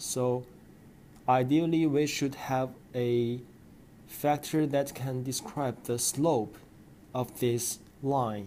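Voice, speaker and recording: At a very slow pace with long, frequent pauses, a man with a non-native accent speaks at a medium pitch in a dark, mellow tone. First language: not English. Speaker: educational video maker. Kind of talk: tutorial.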